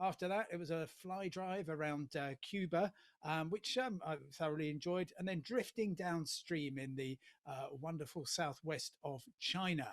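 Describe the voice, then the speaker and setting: A man's fairly high-pitched voice with a British accent, ordinary pitch variation and a moderate pace. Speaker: travel journalist and TV presenter. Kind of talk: humorous guest address at online awards ceremony. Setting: remote video link. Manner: hesitant, many fillers.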